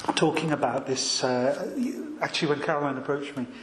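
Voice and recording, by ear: A soft-spoken man at a moderate pace, lively intonation, with audible room echo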